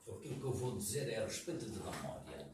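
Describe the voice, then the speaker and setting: A man with a medium pitch speaks at a moderate pace. Audible room echo and noticeable background noise surround him. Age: 80s+. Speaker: audience member, veteran journalist and critic. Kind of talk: audience comment at a public talk. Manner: halting, with repetitions.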